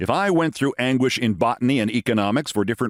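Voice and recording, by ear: The intonation is lively while reading aloud in a natural voice.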